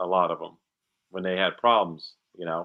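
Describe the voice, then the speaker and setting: An American accent is heard. Speech moves at a moderate rate. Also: man, quiet background. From New Jersey, Monmouth County. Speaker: actor. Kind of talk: casual interview chat.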